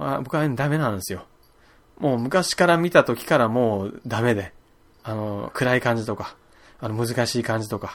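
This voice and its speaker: A man speaks at a moderate pace in a medium pitch with lively intonation. It is an unremarkable speaking voice. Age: 30s. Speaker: podcast host. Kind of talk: casual solo talk.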